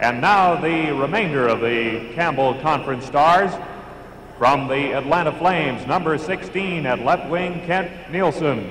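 A man at a fairly slow pace with ordinary pitch variation, audible room echo and light background noise. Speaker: arena announcer. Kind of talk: live arena PA announcing of player introductions, formal roll-call. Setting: arena PA system with crowd. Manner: formal, crisp, measured and ceremonial; projecting, announcer-style delivery with rising emphasis on each name. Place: stadium.

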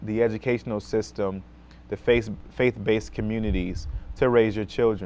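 Speaking at a moderate pace, a man with an American accent has a fairly low pitch. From Rochester, New York, US; New York. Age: 30s. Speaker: school social worker; guest. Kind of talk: talk show interview. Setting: TV studio. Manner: many fillers (um, uh). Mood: earnest, calm advice. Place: studio.

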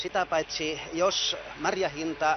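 A man speaks over noticeable background noise. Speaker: berry farmer.

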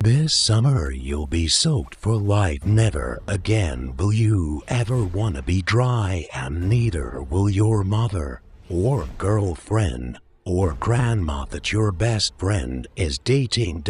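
A fairly slow pace with hardly any pauses. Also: man, very deep, low pitch for a man. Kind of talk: parody movie trailer voice-over. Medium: voice reel. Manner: hyped, rambling, jokey.

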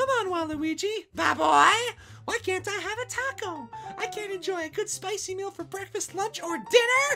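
A put-on character voice that sounds female, pitched extremely high for a woman, moves at a moderate pace over clear background music. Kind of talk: comic overacting. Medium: read story. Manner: bubbly, giggly, pleading.

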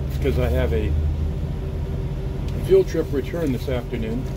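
Speech comes at a fairly slow pace against loud background noise. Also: man. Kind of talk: casual vlog chat. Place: bus. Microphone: phone near.

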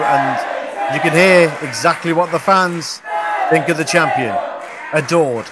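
Over crowd noise in the background, a man talks fairly slowly at a high pitch. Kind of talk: live wrestling commentary. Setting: ringside at a live event.

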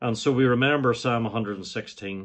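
His intonation stays fairly even as the man talks. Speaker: church minister. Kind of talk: sermon-style welcome. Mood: warm, welcoming. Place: home room. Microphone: phone near.

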